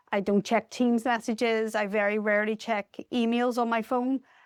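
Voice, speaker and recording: In a Northern Irish accent, a woman talks with fairly even intonation. The sound is dry and close with no echo, very clean, over a silent background. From Northern Ireland. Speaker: charity deputy CEO. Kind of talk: podcast interview.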